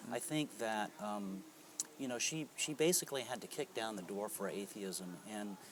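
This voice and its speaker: A man with an American accent has a plain, everyday voice at a medium pitch. He talks at a moderate pace with lively intonation. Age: 60s. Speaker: atheist interviewee, cellist. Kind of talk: interview. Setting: convention.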